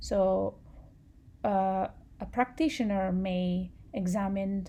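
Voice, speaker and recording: A woman speaks with a non-native accent and fairly even intonation. Her tone is dark and mellow and somewhat breathy. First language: not English. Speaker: public health student. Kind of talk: student class presentation.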